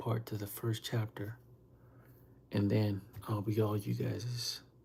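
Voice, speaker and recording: A man speaks in a dark, mellow, somewhat breathy voice with a fairly low pitch. His intonation stays monotone and flat. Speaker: livestreamer and author. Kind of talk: casual livestream chat.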